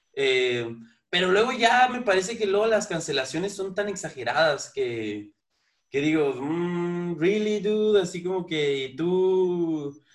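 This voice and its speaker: The man's voice sits high in pitch, with lively intonation. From Mexico. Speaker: podcast host. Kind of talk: casual interview chat. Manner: halting, many repeated words.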